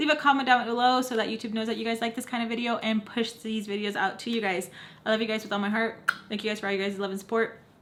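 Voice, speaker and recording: A woman does a raspy put-on character voice at a fairly high pitch. She races along at a very fast pace with fairly even intonation. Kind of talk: casual vlogger. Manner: talking very fast.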